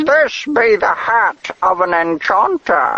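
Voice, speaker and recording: A put-on character voice from a man, high-pitched and at a fairly slow pace. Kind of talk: archaic, "be" grammar.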